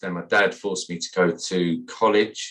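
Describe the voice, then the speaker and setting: A man with a West Midlands accent talks against a quiet background. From West Midlands, England (Sutton Coldfield). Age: 50s. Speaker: landscaper, business owner. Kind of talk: podcast interview.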